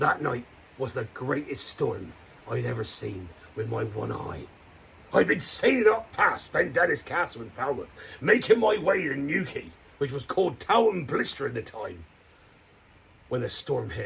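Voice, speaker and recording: Using a put-on character voice, a man with a fairly high pitch talks at a moderate pace with long, frequent pauses. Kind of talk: children's campfire storytelling. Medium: solo performance. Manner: hearty, theatrical, playful.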